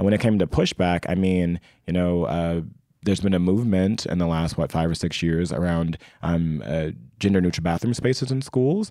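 With an American accent, the dark, mellow voice holds a very even loudness on a very clean recording with a silent background. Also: man, very deep, low pitch for a man, ordinary pitch variation, moderate pace. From US Midwest, Indianapolis, Indiana. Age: 30s. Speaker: school counselor. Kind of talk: casual chat.

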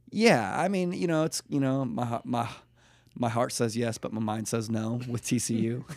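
Lively intonation at a moderate pace. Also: man, medium pitch for a man. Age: 30s. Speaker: church pastor. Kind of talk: casual chat. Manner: animated.

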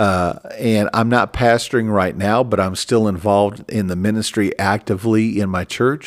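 With an American accent, a man talks at a moderate pace with hardly any pauses, using a fairly low pitch and fairly even intonation on a very clean recording with a silent background. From Minnesota. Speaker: pastor. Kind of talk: religious podcast monologue. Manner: halting.

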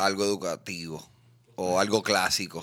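With a Puerto Rican accent, a man speaks very slowly on a very clean recording with a silent background. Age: 30s. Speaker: comedian and podcaster. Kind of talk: casual chat.

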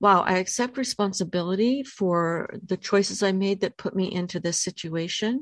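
In an ordinary speaking voice, a woman talks at a moderate pace with hardly any pauses, medium pitch and ordinary pitch variation, against a quiet background. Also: dry, close sound with no echo. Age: 60s. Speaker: podcast host and life coach. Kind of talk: book study discussion and reading aloud.

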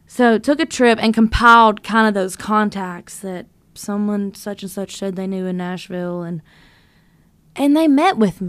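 On a very clean recording with a silent background, a woman with a Southern US accent speaks at a moderate pace with big swings in loudness. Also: medium pitch for a woman, ordinary pitch variation. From North Louisiana. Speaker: songwriter and singer. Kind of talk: casual interview chat.

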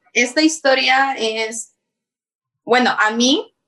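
A woman speaks with a bright, sharp tone. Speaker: YouTuber. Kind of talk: casual chat.

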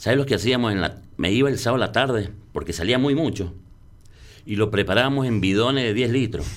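There is audible room echo around a man speaking at a very fast pace. His voice sits at medium pitch with ordinary pitch variation. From San Juan, Argentina. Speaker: bartender. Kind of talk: casual interview.

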